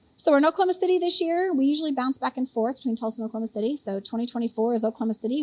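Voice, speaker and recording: A woman's high voice at a very fast pace, hardly any pauses, and lively intonation. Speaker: brewers association executive director. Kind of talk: podcast interview.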